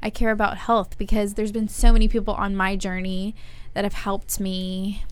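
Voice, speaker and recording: In a room with audible echo, a woman at medium pitch speaks at a fairly quick pace in a monotone, flat delivery with an American accent. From Monrovia, California, US. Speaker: podcast co-host and video producer. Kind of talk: casual chat.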